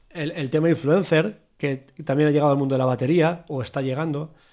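A man with a plain, everyday voice speaks at a moderate pace and a fairly high pitch, with ordinary pitch variation, in a very clean recording with a silent background. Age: 40s. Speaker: podcast host, drummer. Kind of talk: casual chat.

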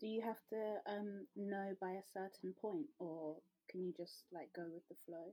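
A woman speaks in a normal speaking voice at a medium pitch. Her pace is fairly slow, with ordinary pitch variation. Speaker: podcast host. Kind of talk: casual chat. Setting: remote call.

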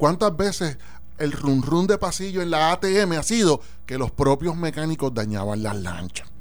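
Using very wide pitch swings, a man with a Puerto Rican accent and a fairly high pitch talks at a fairly slow pace. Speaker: radio talk show host. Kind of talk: casual political discussion.

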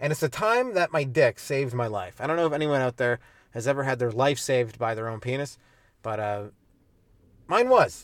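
A man at a medium pitch with ordinary pitch variation, a fairly quick pace and long, frequent pauses. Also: very clean recording, silent background. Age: 30s. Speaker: comedian. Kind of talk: casual chat. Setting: in a car.

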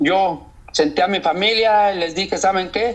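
At a fairly slow pace, a man speaks in a high voice. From Mexico. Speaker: long-distance walker. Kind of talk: interview.

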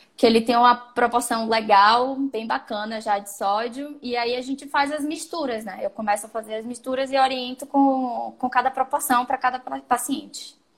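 Hardly pausing, a woman speaks at a high pitch with fairly even intonation. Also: moderate pace, big swings in loudness. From Brazil, Salvador (Bahia). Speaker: nutritionist and triathlete. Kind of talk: casual interview on sports nutrition. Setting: live stream.

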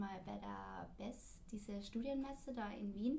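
The delivery is very slow, and audible room echo hangs around the words. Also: woman. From Austria, Linz. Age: 20s. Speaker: podcast host, former au pair, student. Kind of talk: casual chat.

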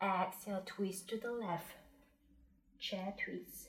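A woman speaks at a very slow pace with a medium pitch. Her voice is somewhat breathy, with ordinary pitch variation. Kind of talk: guided yoga class with breath cues and meditation. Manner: calm, soothing, unhurried, gently instructive; rhythmic cueing, short commands paced with the breath.

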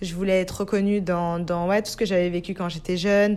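A woman is talking. She uses a medium pitch. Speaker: podcaster. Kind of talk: personal monologue.

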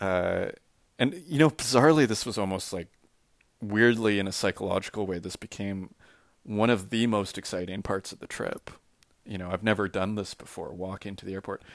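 A plain, everyday voice belongs to a man with a Canadian accent and a fairly low pitch, speaking at a fairly quick pace. His pitch variation is ordinary, his loudness swings a lot, and the recording is very clean with a silent background. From Saskatchewan, Canada. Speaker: artist. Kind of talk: spoken audio diary. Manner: casual, rambling with many fillers.

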